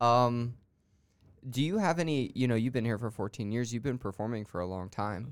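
A man's ordinary speaking voice at a fairly quick pace, ordinary pitch variation, very clean recording with a silent background. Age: 20s. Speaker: podcast host. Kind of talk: interview. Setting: studio.

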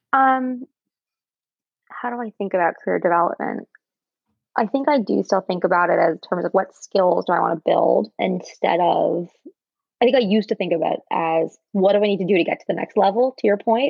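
A woman talks fairly quickly with vocal fry and ordinary pitch variation. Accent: American. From New York area. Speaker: marketing professional. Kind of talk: interview.

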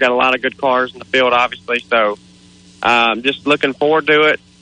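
This is a man with a medium-pitched voice, a plain, everyday voice. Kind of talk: casual radio interview. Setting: outdoors at race track, phone. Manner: excited.

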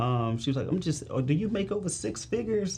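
A man talks with lively intonation at a fairly high pitch, sounding somewhat breathy. Audible room echo surrounds his voice. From St. Louis, Missouri, US. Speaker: financial advisor. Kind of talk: casual interview chat.

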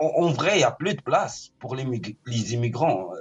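A man speaks with a somewhat breathy voice. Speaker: caller.

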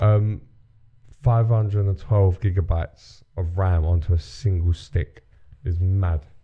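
A man with a British accent speaks at a very slow pace in a very deep, low voice, his tone dark and mellow and somewhat breathy. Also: ordinary pitch variation. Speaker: podcast host. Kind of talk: casual chat.

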